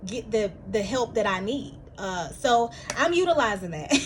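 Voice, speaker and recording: A woman speaks at a fairly slow pace and a fairly high pitch. Noticeable background noise is present. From US South, Milledgeville, Georgia. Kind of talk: casual vlog monologue. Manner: halting, many fillers and restarts.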